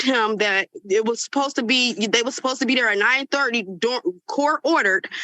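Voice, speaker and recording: A woman's bright, sharp, high voice with ordinary pitch variation, dry and close with no echo. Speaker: tenant testifying in court. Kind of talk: court testimony. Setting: courtroom.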